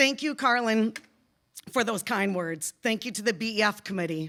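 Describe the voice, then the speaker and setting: Loud and bright with a sharp tone, a woman speaks at a moderate pace with lively intonation on a very clean recording with a silent background. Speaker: teacher. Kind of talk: award acceptance speech.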